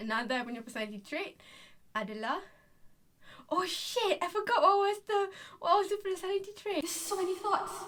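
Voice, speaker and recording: A woman with a Malaysian accent speaks at an extremely high pitch with very wide pitch swings. She talks at a fairly quick pace, with long, frequent pauses. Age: 20s. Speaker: vlogger. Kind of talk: casual vlog monologue, code-switching Malay and English.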